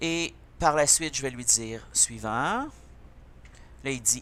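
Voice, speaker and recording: Speaking very slowly in a Quebec accent, a man has a bright, sharp tone with vocal fry. His intonation is lively. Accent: Québécois. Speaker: computer teacher. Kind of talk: tutorial.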